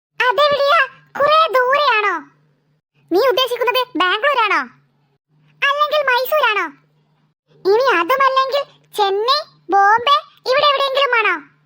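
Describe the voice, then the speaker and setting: In a squeaky cartoonish character voice at an extremely high pitch, the speaker talks fairly slowly. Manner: playful, mocking.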